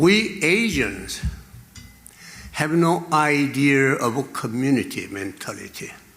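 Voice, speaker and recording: A man at a very slow pace, with long, frequent pauses, lively intonation and audible room echo. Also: fairly high pitch for a man. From Korea. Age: 80s+. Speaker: venture capitalist. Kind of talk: speech. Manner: halting.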